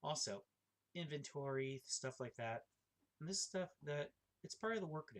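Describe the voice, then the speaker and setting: A man talks at a moderate pace, somewhat breathy, with lively intonation and long, frequent pauses. The sound is dry and close, with no echo. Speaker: forklift operator and amateur theology writer. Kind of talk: casual monologue. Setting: at home. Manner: halting.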